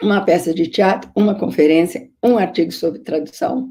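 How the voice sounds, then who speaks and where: Her dark, mellow tone sits at a medium pitch as this woman speaks with lively intonation. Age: 70s. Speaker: literary scholar and biographer. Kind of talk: lecture. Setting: video conference.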